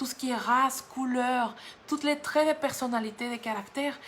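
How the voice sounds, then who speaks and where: Speaking fairly slowly, a woman uses a high voice with ordinary pitch variation. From Mexico. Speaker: guest preacher. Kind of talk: sermon. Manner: halting, with frequent repetitions.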